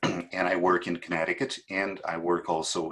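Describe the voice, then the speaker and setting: A man speaks with a Portuguese accent. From Portugal. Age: 50s. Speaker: fertility doctor. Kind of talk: panel presentation.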